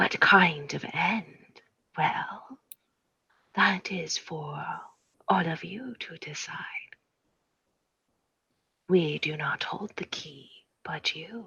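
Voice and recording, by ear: In a put-on character voice, a woman speaks at a very slow pace with long, frequent pauses, a fairly low pitch, ordinary pitch variation, a bright, sharp tone, a husky, rough edge, and vocal fry.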